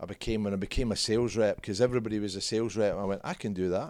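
On a very clean recording with a silent background, a man speaks at a fairly low pitch with ordinary pitch variation. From Scotland. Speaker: former professional footballer and business CEO. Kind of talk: casual interview chat.

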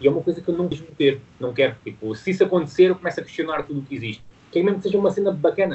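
With a European Portuguese accent, a man speaks very fast at a high pitch with ordinary pitch variation. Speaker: fitness business founder. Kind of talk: interview. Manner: halting.

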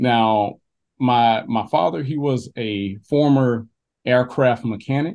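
A man with an Alabama accent, medium pitch and a very slow pace. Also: ordinary pitch variation. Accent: Southern US (Alabama). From US South, southwest Alabama. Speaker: history tour company founder. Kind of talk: casual interview. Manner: halting, many repetitions.

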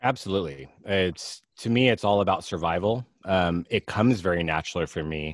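A man with an American accent talks at a fairly quick pace with hardly any pauses, in a very deep, low pitch with ordinary pitch variation. The recording is very clean with a silent background and a dry, close sound with no echo. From US West Coast (Alameda, California). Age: 40s. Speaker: fitness coach. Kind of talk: casual chat.

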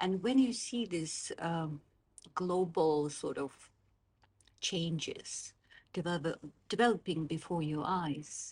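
A woman's fairly low, somewhat breathy voice at a very slow pace. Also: ordinary pitch variation. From Azerbaijan (Baku). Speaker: political scientist. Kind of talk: interview. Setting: in person, Oxford.

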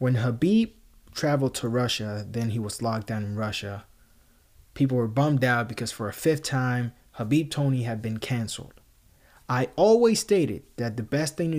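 A man speaks with a Spanish accent. His pitch is medium and his pace moderate. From Puerto Rico. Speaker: MMA podcast host. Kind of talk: solo commentary podcast.

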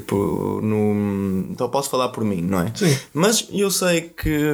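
A man with a European Portuguese accent, very slow, with very wide pitch swings. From northern Portugal. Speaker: surf instructor. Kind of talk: podcast interview. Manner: halting.

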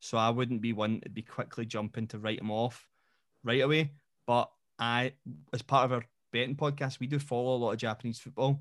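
A man's medium-pitched voice, monotone and flat, at a fairly quick pace in a very clean recording with a silent background. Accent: Scottish. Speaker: football podcast host and coach. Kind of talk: casual chat.

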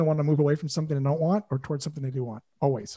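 In a very clean recording with a silent background and a dry, close sound with no echo, a man with a fairly high pitch speaks in a dark, mellow tone that is somewhat breathy. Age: 50s. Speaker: sales coach. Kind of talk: casual chat. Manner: animated.

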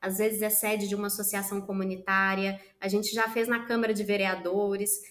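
A woman at a moderate pace with a fairly high pitch, with audible room echo. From Minas Gerais, Brazil. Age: 30s. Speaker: social entrepreneur. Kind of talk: interview.

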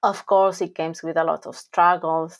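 This woman has a fairly low pitch, heard over a quiet background. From Argentina. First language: Spanish. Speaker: academic coach. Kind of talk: casual interview.

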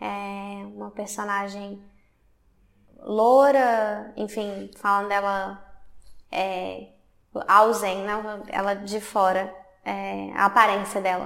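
A woman speaks very slowly at a medium pitch, with monotone, flat intonation. Her loudness swings widely, long pauses come often, and the room echo is audible. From Brazil, Belo Horizonte, Minas Gerais. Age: 30s. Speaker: artist and film student. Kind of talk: interview. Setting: art university building.

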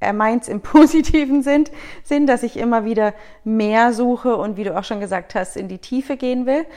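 Her pitch is high, and she moves it in an ordinary way. The woman speaks at a moderate pace. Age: 30s. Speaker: guest. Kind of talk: casual chat.

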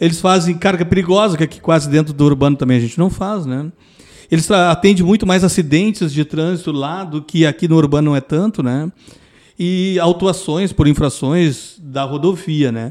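Using an unremarkable speaking voice, a man talks at a moderate pace in a fairly high pitch with ordinary pitch variation. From Rio Grande do Sul, Pelotas. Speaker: retired military police sergeant, traffic safety specialist. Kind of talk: casual interview chat.

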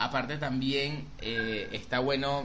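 A man talks with monotone, flat intonation. Noticeable background noise and audible room echo surround his voice. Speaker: podcast co-host and makeup artist. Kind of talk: casual chat.

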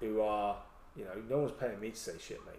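Speaking with an English accent, a man keeps to a moderate pace. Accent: English accent, noticeable in Wales. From England. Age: 40s. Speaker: army veteran and ultra runner. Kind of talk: casual chat.

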